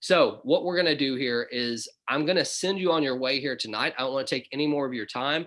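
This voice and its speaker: A man with a Southern US accent talks at a fairly quick pace, his fairly high pitch showing ordinary pitch variation. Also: hardly any pauses. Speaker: business opportunity presenter. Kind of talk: webinar presentation. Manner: casual, conversational.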